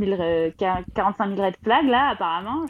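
A woman with an unremarkable speaking voice, medium pitch and lively intonation. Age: 30s. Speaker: caller to a live relationship advice show. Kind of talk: casual chat. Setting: live call-in broadcast.

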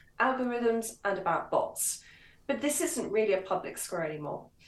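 Speaking at a moderate pace, a woman has an unremarkable speaking voice pitched fairly high. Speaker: author and commentator. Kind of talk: radio interview, casual political discussion.

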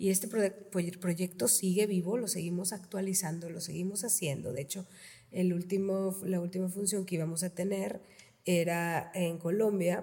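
The woman's voice is somewhat breathy, with a dark, mellow tone at medium pitch. She keeps a moderate pace and fairly even intonation. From Reynosa, Tamaulipas, northern Mexico. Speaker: theatre founder and researcher. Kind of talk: casual interview.

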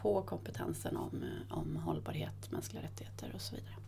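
A woman's voice with audible room echo. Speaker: corporate sustainability head. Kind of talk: interview conversation. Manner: quick, sharp delivery.

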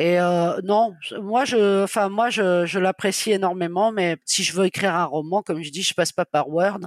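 At a medium pitch, a woman talks at a fairly slow pace with fairly even intonation, in a dry, close sound with no echo. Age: 50s. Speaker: freelance web writer and novelist. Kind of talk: interview. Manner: hesitant, frequent fillers.

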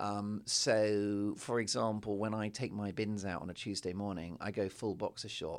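A man's fairly low, monotone voice with flat intonation at a moderate pace, with hardly any pauses, on a very clean recording with a silent background. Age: 40s. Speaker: guest on comedy podcast. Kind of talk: casual chat.

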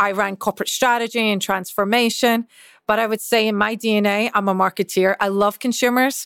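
With a Scottish accent, a woman speaks at a fairly high pitch and a fairly quick pace in a monotone, flat delivery, recorded very cleanly with a silent background and a dry, close sound with no echo. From Scotland. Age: 40s. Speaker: chief marketing officer. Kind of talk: interview.

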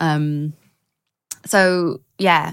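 On a very clean recording with a silent background, a woman speaks with fairly even intonation at a very deep, low pitch. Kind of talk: casual chat.

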